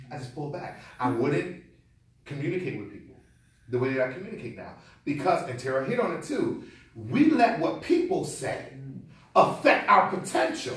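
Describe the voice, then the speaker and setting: With an American accent and an animated tone, a man speaks in a fairly high pitch, using very wide pitch swings, big swings in loudness and long, frequent pauses amid audible room echo. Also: moderate pace. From Connecticut. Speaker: keynote speaker. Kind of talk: motivational speech.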